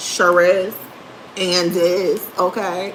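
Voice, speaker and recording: A woman speaks over noticeable background noise. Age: 30s. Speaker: livestreamer. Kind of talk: casual chat. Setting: livestream.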